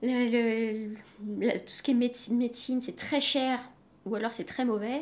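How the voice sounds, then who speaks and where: Her voice is high-pitched and her intonation monotone and flat. The woman speaks at a very slow pace. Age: 30s. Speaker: freelance French-as-foreign-language teacher. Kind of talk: interview. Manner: halting.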